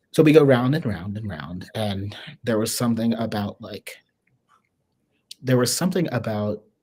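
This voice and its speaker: Soft-spoken and with an American accent, the voice moves at a moderate pace over a very clean recording with a silent background. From US Midwest, small-town Ohio. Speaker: swing dancer. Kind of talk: casual interview conversation. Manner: soft-spoken and quiet.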